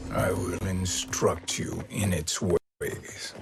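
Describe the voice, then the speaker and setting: Whispering at a very slow pace, a man performs a put-on character voice. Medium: video game. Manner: smug, measured.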